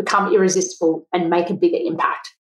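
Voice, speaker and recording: Her voice is an ordinary speaking voice, as a woman of medium pitch talks at a moderate pace with fairly even intonation. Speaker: podcast host, accountant. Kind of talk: podcast interview.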